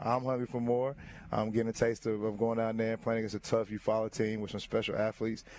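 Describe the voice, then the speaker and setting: A man with a Southern US accent talks very fast at a medium pitch, his intonation monotone and flat. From US South. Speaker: high school basketball coach. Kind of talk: interview.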